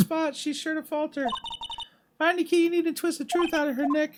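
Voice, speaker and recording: In a put-on character voice, the speaker talks at a high pitch and a fairly quick pace. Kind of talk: game dialogue read aloud. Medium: game stream. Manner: eager, encouraging.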